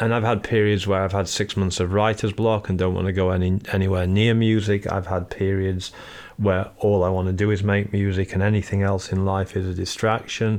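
A man with a Yorkshire accent talks at a fairly quick pace. His pitch is fairly low and his intonation is monotone and flat. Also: very even loudness. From northern England, Sheffield. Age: 40s. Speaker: musician and record label founder. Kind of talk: interview.

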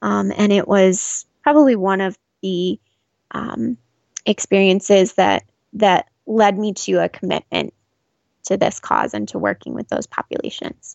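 A woman with a Southwest US accent at a fairly slow pace. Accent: General American (Southwest US). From Arizona, Scottsdale area. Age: 30s. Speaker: refugee program worker. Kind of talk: interview. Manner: hesitant, many fillers and repeats.

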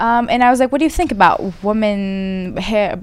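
A woman's fairly high voice with a Persian accent, lively intonation and a moderate pace, over noticeable background noise. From Iran. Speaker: podcast host. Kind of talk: casual chat.

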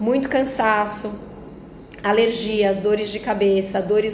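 Amid noticeable background noise and audible room echo, a woman talks at a very slow pace. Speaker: nutritionist podcast host. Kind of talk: health explainer monologue. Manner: conversational with filler words.

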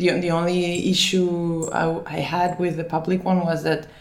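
This woman's voice sits fairly low. Noticeable background noise can be heard throughout. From Finland, then Barcelona from age 10. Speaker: food business founder. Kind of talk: interview.

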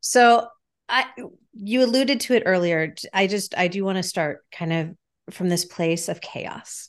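A woman with an American accent and a plain, everyday voice, medium in pitch, at a fairly slow pace with ordinary pitch variation, over a quiet background. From Chicago / Massachusetts. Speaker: life and business strategist. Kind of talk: online panel conversation.

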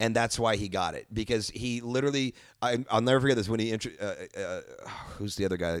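This man talks at a very fast pace with an American accent. The recording is very clean, with a silent background. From Michigan. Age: 30s. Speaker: comedian and actor. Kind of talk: casual chat.

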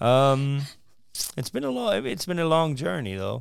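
A man with an unremarkable speaking voice talks at a fairly quick pace with ordinary pitch variation, in a very clean recording with a silent background. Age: 40s. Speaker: stand-up comedian. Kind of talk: interview.

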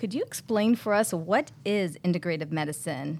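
A woman with a normal speaking voice uses lively intonation at a moderate pace. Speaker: co-host, pediatric surgeon. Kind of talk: podcast hosting.

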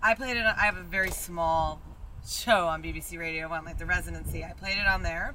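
The talking moves at a fairly quick pace against noticeable background noise. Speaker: DJ. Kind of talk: casual group chat, podcast.

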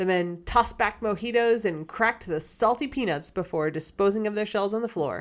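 A natural voice, reading aloud.

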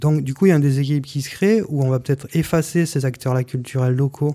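Somewhat breathy and dark, mellow in tone, the voice moves at a fairly quick pace with ordinary pitch variation on a very clean recording with a silent background. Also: man. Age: 40s. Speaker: municipal election candidate. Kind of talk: radio interview. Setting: radio studio, broadcast live. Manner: halting, with many repetitions.

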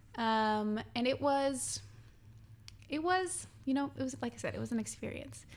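At a moderate pace, a woman speaks with a Western Canadian accent. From Quesnel, British Columbia, Canada. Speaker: musical theatre actress. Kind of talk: casual interview. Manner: animated.

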